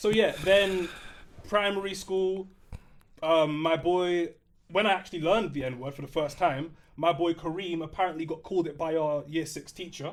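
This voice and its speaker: Long, frequent pauses break up a man's speech, delivered at a moderate pace in a London accent. His pitch is high and his intonation fairly even. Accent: London multicultural English. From North London, England. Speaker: podcast co-host. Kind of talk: casual chat.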